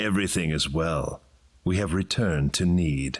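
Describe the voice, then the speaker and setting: Very deep, low put-on character voice from a man, delivered at a moderate pace. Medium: video game. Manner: calm, cold.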